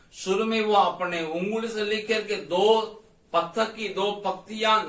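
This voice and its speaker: With a Tamil accent, a man speaks in a raised, projected voice at a high pitch and with fairly even intonation, against noticeable background noise. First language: Tamil (speaking Hindi). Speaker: Bible teacher. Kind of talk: Bible study lecture.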